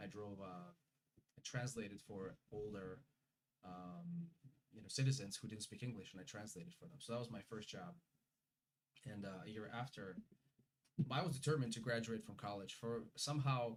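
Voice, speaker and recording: Somewhat breathy and in a Russian accent, the voice moves with lively intonation and big swings in loudness, broken by long, frequent pauses. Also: man, medium pitch for a man, moderate pace. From Uzbekistan. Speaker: immigrant guest. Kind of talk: interview. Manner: halting.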